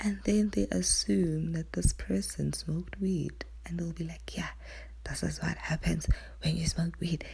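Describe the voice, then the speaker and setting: Quiet and fairly slow, a woman speaks with vocal fry in a very deep, low voice with a dark, mellow tone. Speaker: YouTuber. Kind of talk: casual vlog monologue. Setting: at home at night.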